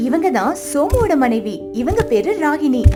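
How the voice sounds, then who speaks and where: A woman's high voice with very wide pitch swings, set over music in the background. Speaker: voice actor. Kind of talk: children's story narration.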